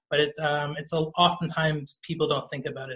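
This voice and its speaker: In a Canadian accent, a man with a fairly high pitch and a bright, sharp tone speaks at a moderate pace. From Toronto, Canada. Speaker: panelist. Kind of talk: panel discussion.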